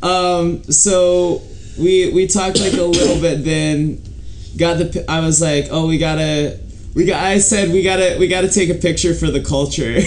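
A man's high-pitched voice at a moderate pace, with fairly even intonation, very even loudness and noticeable background noise. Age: 20s. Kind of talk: casual chat.

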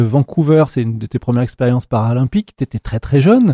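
A man speaks at medium pitch in a dark, mellow tone that is somewhat breathy. The sound is dry and close, with no echo. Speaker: podcast host. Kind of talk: interview. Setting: gym room, seated on a bench.

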